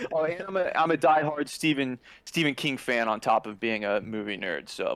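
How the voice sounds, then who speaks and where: Pitched fairly high, a man with an unremarkable speaking voice uses lively intonation. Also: moderate pace. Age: 30s. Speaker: screenwriter and videographer. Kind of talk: casual chat.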